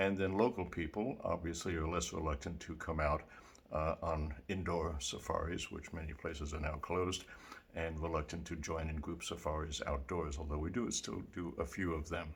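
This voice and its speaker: Somewhat breathy and in an American accent, a man with a very deep, low pitch talks at a moderate pace with fairly even intonation. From New York City. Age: 80s+. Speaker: small business owner. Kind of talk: appeal for funding. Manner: halting.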